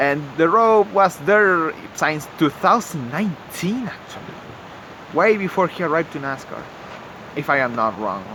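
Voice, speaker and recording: Over noticeable background noise, a man with a fairly high pitch talks at a moderate pace, his voice swinging very widely in pitch. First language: not English. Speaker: YouTuber commentator. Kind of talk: improvised commentary. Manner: halting, many fillers; casual, animated.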